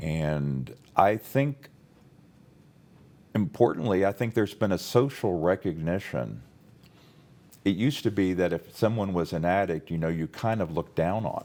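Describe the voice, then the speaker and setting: A man with an American accent speaks in a very deep, low pitch with a dark, mellow tone. His intonation is lively, his pace moderate, and his pauses long and frequent. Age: 60s. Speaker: former state prosecutor. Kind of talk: interview. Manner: halting, many fillers.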